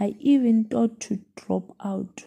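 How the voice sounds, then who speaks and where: A woman speaks very slowly, her tone dark and mellow and her voice somewhat breathy. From South Africa, Mpumalanga. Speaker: student teacher. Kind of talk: student podcast reflection.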